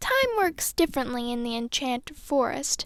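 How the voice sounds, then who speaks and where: A woman's put-on character voice, pitched high. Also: moderate pace. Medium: read story. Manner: feisty.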